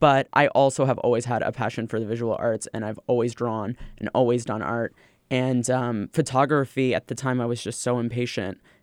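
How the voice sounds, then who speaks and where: A man with an American accent, fairly quick and monotone, flat in intonation, in a dry, close sound with no echo. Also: medium pitch for a man, very clean recording, silent background. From US West Coast, Los Angeles. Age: 20s. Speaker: drag performer and nightlife host. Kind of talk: interview.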